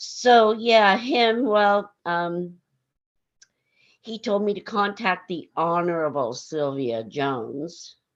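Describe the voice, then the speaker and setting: A woman of medium pitch talks very slowly, her voice making very wide pitch swings. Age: 60s. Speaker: bereaved mother. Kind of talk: panel discussion. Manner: halting.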